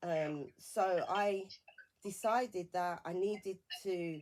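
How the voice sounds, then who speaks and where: A woman speaks in a British accent. Her pitch is medium, with ordinary pitch variation. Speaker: bereavement support campaigner. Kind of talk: radio interview. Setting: radio studio. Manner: halting.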